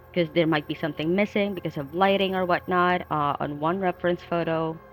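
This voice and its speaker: Over music in the background, a woman talks at a fairly quick pace with fairly low pitch and fairly even intonation. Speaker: DIY sneaker customizer, YouTuber. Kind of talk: tutorial voiceover. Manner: hesitant, many fillers and repeats.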